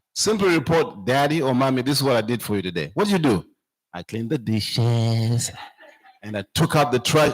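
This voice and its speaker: A man with a Zambian accent at a moderate pace. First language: a Zambian language. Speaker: speaker at church camp meeting. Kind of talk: talk to children at camp meeting.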